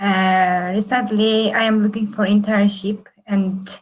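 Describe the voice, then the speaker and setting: The woman speaks fairly slowly in a monotone, flat intonation, her voice somewhat breathy. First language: Turkish. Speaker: engineering student. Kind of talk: self-introduction at online meetup. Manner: halting.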